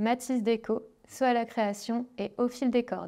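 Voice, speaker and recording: A woman talks at a moderate pace, her fairly high pitch carrying a dark, mellow tone over a quiet background. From northern France, Dunkirk; France. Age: 30s. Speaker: craft artist and author; creator. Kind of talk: book presentation. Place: studio. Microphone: lapel.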